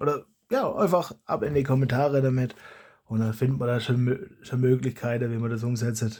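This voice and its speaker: A man talks at medium pitch with a dark, mellow tone that is somewhat breathy. The recording is very clean with a silent background. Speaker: YouTuber, foam blaster modder. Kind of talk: casual vlog monologue. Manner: halting, with many restarts.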